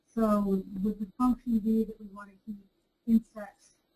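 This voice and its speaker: Quiet and somewhat breathy, a woman speaks at a fairly high pitch with a dark, mellow tone. Her pace is fairly slow. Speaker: webinar participant. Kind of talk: question and answer.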